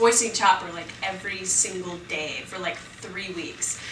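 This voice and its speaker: Over noticeable background noise and audible room echo, a woman speaks fairly slowly in an animated tone. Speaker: voice actress. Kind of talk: press interview.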